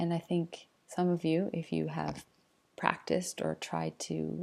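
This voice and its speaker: A soft-spoken woman at a fairly slow pace. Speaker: teacher. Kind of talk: tutorial. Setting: home at night.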